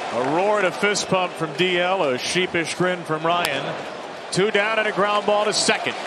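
There is loud background noise. Over it, a man talks at a moderate pace. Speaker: baseball play-by-play announcer. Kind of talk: live sports play-by-play commentary. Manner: polished broadcaster cadence, clipped play descriptions. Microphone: headset.

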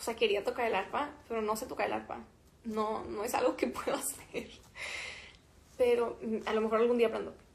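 A woman with a fairly high pitch speaks at a fairly quick pace. Her intonation stays fairly even, broken by long, frequent pauses. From Mexico. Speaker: musician. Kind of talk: casual livestream chat with fans. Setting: Instagram live stream. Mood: cheerful, playful. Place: home room. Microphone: phone near.

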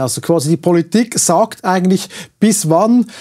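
A man speaks in a high pitch with a dark, mellow tone. His pace is moderate, and the background is quiet. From Switzerland. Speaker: talk show host. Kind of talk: political interview. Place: studio.

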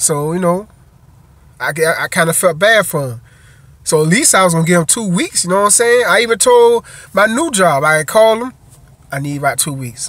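A man's high-pitched, animated voice, dry with no echo, broken by long, frequent pauses. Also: fairly quick pace. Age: 30s. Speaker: truck driver vlogger. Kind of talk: casual monologue vlog. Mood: frustrated, venting about former employer. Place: car. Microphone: phone near.

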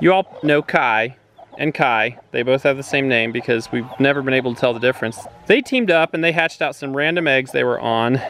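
The sound is dry with no echo, and light background noise is present. Speech moves at a fairly quick pace with ordinary pitch variation. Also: man. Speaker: homesteader vlogger. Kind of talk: casual vlog chat. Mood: cheerful, laughing. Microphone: phone near.

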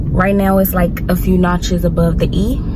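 A woman's voice, dry with no echo, over music in the background. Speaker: vlogger. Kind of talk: casual vlog chat. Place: car. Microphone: phone near.

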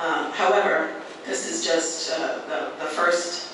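A man's fairly slow, monotone and flat delivery amid noticeable background noise and strong room echo. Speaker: candidate. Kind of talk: debate answer. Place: hall.

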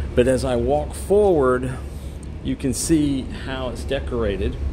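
A man speaks at a very slow pace while noticeable background noise can be heard. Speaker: cruise passenger vlogger. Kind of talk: walking tour commentary. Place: hall. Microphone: phone near.

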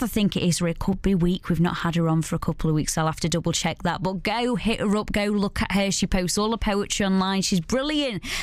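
A woman speaks in an upbeat, enthusiastic tone with ordinary pitch variation, the sound dry with no echo and the background quiet. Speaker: radio presenter. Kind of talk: radio show hosting. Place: studio.

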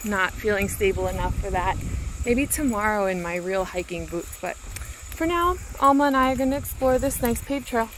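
Speaking at a moderate pace, a woman is heard in a dry recording with no echo and noticeable background noise. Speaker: vlogger walking her dog. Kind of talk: casual vlog chat. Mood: relaxed, cheerful. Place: forest. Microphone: phone near.

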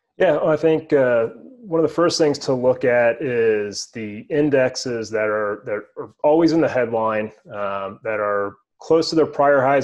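Pitch varies in an ordinary way against a quiet background. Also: man. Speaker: guest. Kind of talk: interview answer. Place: home room. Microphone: webcam.

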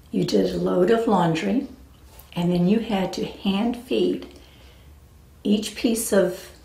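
Audible room echo hangs around the words of a woman with an American accent. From US West Coast, San Diego area; California. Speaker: family storyteller recording life legacy. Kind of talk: personal memoir narration. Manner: relaxed, with frequent fillers (um, uh). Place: home room.

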